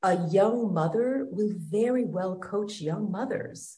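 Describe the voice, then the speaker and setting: A woman's somewhat breathy voice at a medium pitch, very slow, with ordinary pitch variation and audible room echo. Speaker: wellness coach. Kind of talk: interview.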